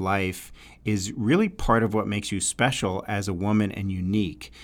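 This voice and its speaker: On a very clean recording with a silent background, a man speaks with a fairly low pitch. He has a slight New York accent and a fairly slow pace. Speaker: relationship podcast host. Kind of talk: solo talk, advice podcast. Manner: conversational, filler words, hesitant.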